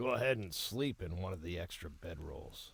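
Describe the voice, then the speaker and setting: A man's raspy put-on character voice, very deep and low, with lively intonation at a moderate pace. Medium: video game. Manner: warm, calm.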